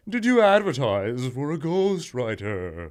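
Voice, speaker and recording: Putting on a character voice, a man speaks at a fairly slow pace in a medium pitch. His pitch swings very widely. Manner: spooky, eerie.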